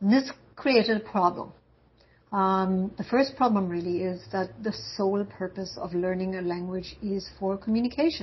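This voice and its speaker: A woman speaks at a moderate pace in a medium-pitched, somewhat breathy voice with ordinary pitch variation. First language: German. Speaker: university language instructor. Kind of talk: lecture.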